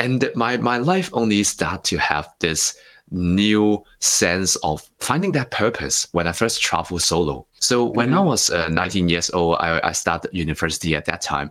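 A man with a Hong Kong accent speaks at a fairly low pitch with lively intonation. His loudness stays very even on a very clean recording with a silent background. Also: moderate pace. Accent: Hong Kong Cantonese-accented English. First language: Cantonese. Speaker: author and speaker. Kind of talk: interview.

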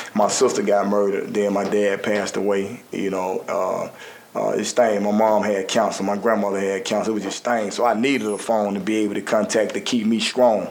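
Talking at a fairly quick pace with hardly any pauses, a man with a fairly low pitch keeps a monotone, flat intonation amid audible room echo and noticeable background noise. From US South, Birmingham, Alabama. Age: 40s. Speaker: ex-prisoner and youth mentor. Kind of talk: interview testimony. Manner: casual, frequent filler.

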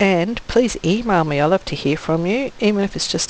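A woman speaks with an Australian accent at a fairly quick pace. Her pitch varies in an ordinary way, and there is noticeable background noise. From Western Australia (country town south of Perth). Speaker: author and teacher. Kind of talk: scripted welcome message.

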